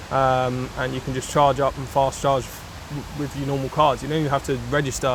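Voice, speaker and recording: In a London accent, a man speaks with a fairly high pitch and monotone, flat intonation. Noticeable background noise sits behind him. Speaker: motorcycle reviewer. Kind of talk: casual video review. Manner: casual, hesitant with fillers.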